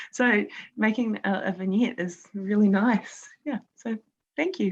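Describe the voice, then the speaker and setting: Fairly high-pitched and somewhat breathy, a woman speaks at a fairly slow pace with a New Zealand accent. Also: ordinary pitch variation. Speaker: quilt-along participant. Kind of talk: casual chat. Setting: video call. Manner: halting.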